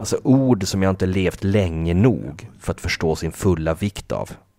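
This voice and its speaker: Against a silent background in a very clean recording, a man with a very deep, low pitch speaks at a very slow pace. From northern Sweden (Kalix, Norrbotten). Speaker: podcast host, music enthusiast. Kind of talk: casual chat about music albums.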